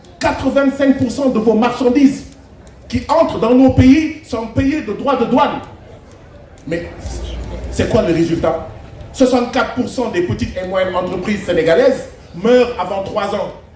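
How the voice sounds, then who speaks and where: Pausing long and often at a fairly slow pace, a man talks with an extremely high pitch and lively intonation, amid noticeable background noise and audible room echo. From Senegal. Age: 40s. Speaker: politician. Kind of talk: public speech. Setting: festival stage with audience.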